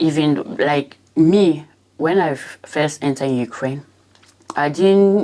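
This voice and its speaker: A woman speaks at a very slow pace with a dark, mellow tone. Her pitch is very deep and low, with ordinary variation. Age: 20s. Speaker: war refugee, former student. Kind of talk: testimony. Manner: halting, with fillers.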